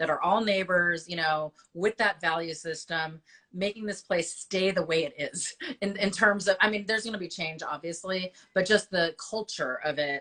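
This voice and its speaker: Bright, sharp tone from a woman at a medium pitch, moderate pace, fairly even intonation. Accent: Chicago. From US Midwest, Chicago. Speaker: business association host interviewing local business owners. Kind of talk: casual interview. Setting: Instagram live video.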